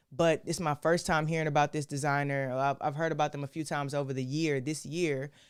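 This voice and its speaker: A woman with an American accent speaks at a fairly quick pace on a very clean recording with a silent background. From Texas. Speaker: art commentary livestream host. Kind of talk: casual live stream talk. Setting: live stream. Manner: halting, many false starts.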